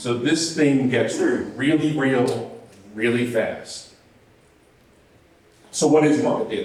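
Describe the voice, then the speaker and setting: Male speech with normal pitch movement, some noticeable background noise and audible echo from the room. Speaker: conference speaker, software engineer. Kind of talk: technical conference talk. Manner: fast; casual, filler-heavy.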